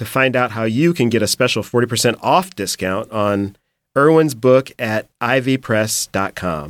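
At a fairly slow pace, the speaker uses lively intonation and a warm, enthusiastic tone, with a dry, close sound and no echo. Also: man. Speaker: podcast host and book editor. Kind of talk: interview.

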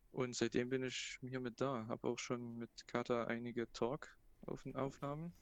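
A man talks in a plain, everyday voice at a medium pitch and moderate pace. The intonation is fairly even, and the sound is dry and close with no echo. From Saxony (Plauen, Vogtland). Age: 20s. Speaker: university student. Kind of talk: casual chat.

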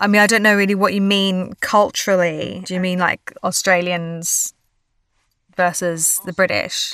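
A woman's bright, sharp tone in monotone, flat intonation. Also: medium pitch for a woman, fairly slow pace. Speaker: actress. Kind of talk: casual chat.

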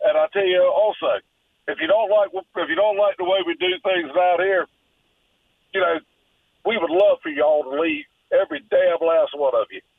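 A moderate pace in a Southern US accent, with long, frequent pauses. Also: man. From US South. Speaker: caller. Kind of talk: call-in rant. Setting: phone call. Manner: animated.

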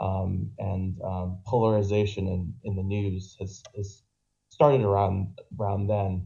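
Somewhat breathy speech in an American accent moves at a fairly slow pace. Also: man. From Boston. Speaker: caller. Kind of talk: call-in discussion. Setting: online voice call via Discord, weak microphone. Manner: halting.

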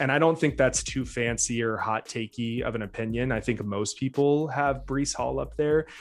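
In a very clean recording with a silent background, a man talks at a moderate pace with ordinary pitch variation in an ordinary speaking voice. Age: 30s. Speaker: fantasy football podcaster and humanities PhD. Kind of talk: casual chat.

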